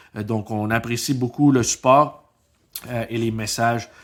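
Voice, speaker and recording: Talking at a fairly slow pace, a man with a non-native accent keeps his intonation fairly even. His pitch is medium, and the recording is very clean over a silent background. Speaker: podcast co-host. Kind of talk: casual chat.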